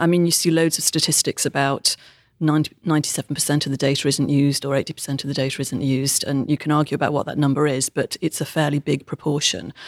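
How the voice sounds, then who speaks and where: Very fast, monotone speech from a woman with a British accent and a very deep, low pitch, dry and close with no echo, on a very clean recording with a silent background. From UK. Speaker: technology consultant. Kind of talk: interview.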